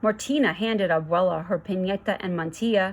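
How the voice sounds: Pitch varies in an ordinary way through a natural reading voice.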